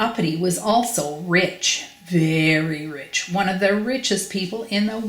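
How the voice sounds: Here is a natural reading voice. Its pitch varies in an ordinary way.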